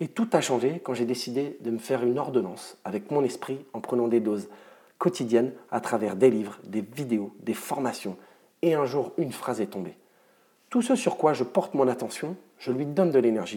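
A man with a plain, everyday voice speaks at a moderate pace, his medium pitch carried by lively intonation. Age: 30s. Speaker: mental performance coach. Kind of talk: scripted narration.

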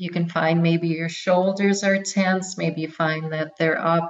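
A woman speaks in a calm tone with monotone, flat intonation. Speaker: wellness and movement coach. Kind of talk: interview with guided relaxation. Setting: phone or remote line.

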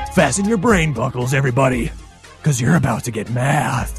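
A man's put-on character voice at a medium pitch, fairly quick pace, with clear music in the background. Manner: epic, dramatic.

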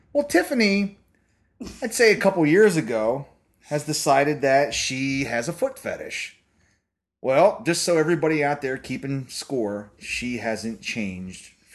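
Over a quiet background, a man speaks fairly slowly in a fairly high pitch, with very wide pitch swings and big swings in loudness. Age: 40s. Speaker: podcast host. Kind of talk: casual banter. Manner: profane, bantering.

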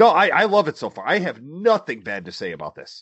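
A man's animated voice with vocal fry, at a moderate pace. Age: 30s. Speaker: wrestling podcast co-host. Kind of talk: casual chat.

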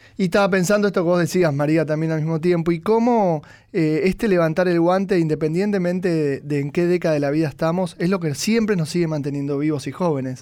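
This voice has a dark, mellow tone and ordinary pitch variation, running at a very fast pace with hardly any pauses. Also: man, high pitch for a man. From Argentina. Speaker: psychologist commentator. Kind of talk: radio panel commentary.

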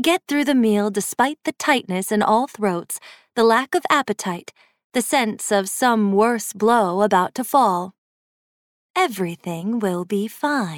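On a very clean recording with a silent background and a dry, close sound with no echo, a woman with a plain, everyday voice speaks at a fairly slow pace, fairly high in pitch with lively intonation. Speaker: audiobook narrator. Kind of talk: scripted story narration, ghost story.

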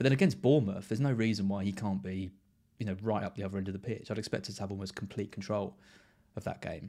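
Fairly low male pitch with ordinary variation, a very fast pace, and a very clean recording with a silent background. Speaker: fantasy football podcast host. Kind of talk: casual chat.

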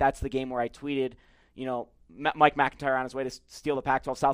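Very fast, fairly high-pitched male speech with an American accent, on a very clean recording with a silent background. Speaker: sports podcast host. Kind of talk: broadcasting voice. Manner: fast talker on ad reads.

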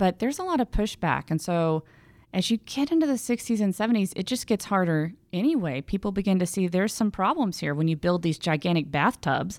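An unremarkable speaking voice from a woman with an American accent and lively intonation, on a very clean recording with a silent background. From Texas, Houston. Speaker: environmental historian. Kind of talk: interview. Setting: studio.

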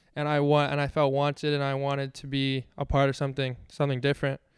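This man has a fairly high pitch and an American accent. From Washington D.C. area. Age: 20s. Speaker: professional tennis player. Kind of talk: casual interview. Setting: live on location at a tennis club.

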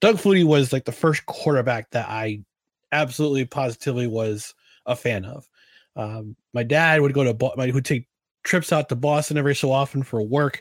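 A man with an unremarkable speaking voice and a medium pitch talks at a fairly quick pace with ordinary pitch variation, in a very clean recording with a silent background and a dry, close sound with no echo. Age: 40s. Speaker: sports podcast host. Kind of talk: casual solo Q&A chat.

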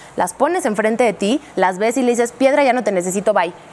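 A woman rattles along at a very fast pace in a fairly high pitch with lively intonation, over noticeable background noise. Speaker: neurolinguistics specialist and communication coach. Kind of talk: talk show conversation. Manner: explanatory, teacherly.

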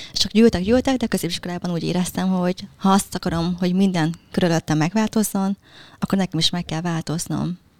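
Someone with a Vietnamese accent talks at a very fast pace with fairly even intonation. The recording is very clean and dry, close, with a silent background and no echo. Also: woman, fairly low pitch for a woman. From Hungary, moved from Vietnam at 7. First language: Vietnamese (speaking Hungarian). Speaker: relationship mentor, social media creator. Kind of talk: interview.

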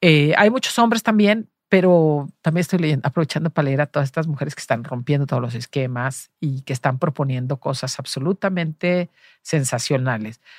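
In a Jalisco accent, the voice moves at a moderate pace with lively intonation, its sound dry and close with no echo. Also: woman. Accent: Mexican Spanish, Jalisco. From Mexico, Los Altos de Jalisco. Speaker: journalist and cultural manager. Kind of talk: interview.

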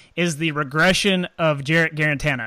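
In a very clean recording with a silent background, a man speaks with a bright, sharp tone. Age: 30s. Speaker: podcast host. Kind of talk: casual chat.

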